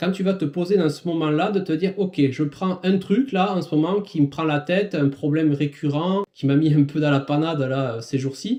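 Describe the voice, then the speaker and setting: With a southwestern French accent, a man speaks in a dark, mellow tone at a fairly high pitch and with lively intonation. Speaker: business coach for small firms and self-employed. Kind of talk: podcast monologue, advice talk. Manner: casual, many hesitations and fillers.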